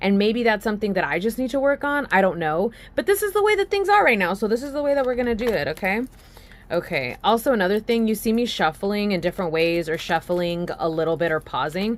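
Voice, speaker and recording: A woman talks at a very fast pace, her tone animated and her intonation lively. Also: medium pitch for a woman. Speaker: tarot reader. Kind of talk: tarot reading.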